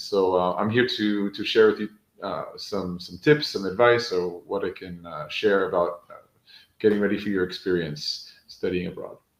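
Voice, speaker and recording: An American accent marks this man's speech at a moderate pace. His loudness swings widely. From New York, US. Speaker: education coach and author. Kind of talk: panel introduction.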